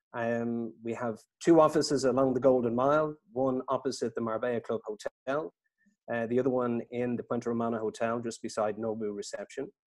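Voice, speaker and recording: A man's medium-pitched voice with an Irish accent, fairly even intonation and a fairly quick pace, in a dry, close sound with no echo. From Ireland. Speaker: estate agent. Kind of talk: webinar interview. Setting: video call.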